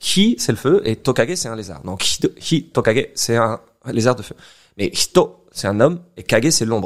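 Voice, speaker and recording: The recording is very clean, with a silent background. A man speaks at a moderate pace and medium pitch, his pitch swinging very widely and his loudness swinging a lot. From France, Corrèze. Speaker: Pokémon translator, podcast guest. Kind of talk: casual podcast chat. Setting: recorded in a bar. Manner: hesitant, many fillers.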